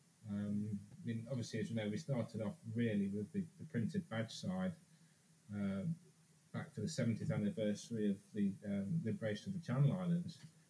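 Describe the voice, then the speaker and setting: A man with an English accent talks at a fairly quick pace and medium pitch, his pitch swinging very widely. His tone is dark and mellow, somewhat breathy. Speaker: reproduction business co-founder. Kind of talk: casual chat.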